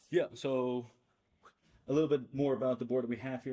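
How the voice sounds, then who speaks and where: A man talks at a very fast pace. His tone is dark and mellow. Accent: Dutch. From Netherlands, Amsterdam. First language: Dutch. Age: 20s. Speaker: student association board member. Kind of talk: presentation.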